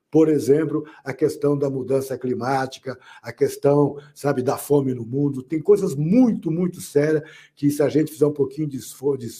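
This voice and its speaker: Fairly high in pitch, a man speaks at a moderate pace with fairly even intonation. His tone is dark and mellow, and somewhat breathy. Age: 60s. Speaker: political commentator. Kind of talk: panel discussion. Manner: halting.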